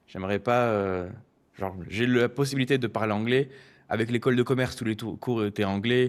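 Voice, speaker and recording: On a very clean recording with a silent background, a man talks at a fairly quick pace. His medium-pitched voice carries a slight southern French accent and fairly even intonation. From southern France, Marseille. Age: 20s. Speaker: stock picker and finance youtuber. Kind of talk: interview. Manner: hesitant, many fillers.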